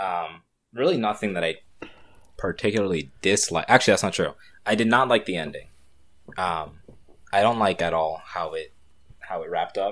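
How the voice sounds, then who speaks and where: Fairly low-pitched, a man talks at a fairly quick pace but with long, frequent pauses. The recording is very clean, with a silent background. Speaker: podcast co-host. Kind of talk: casual chat. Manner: playful, loud.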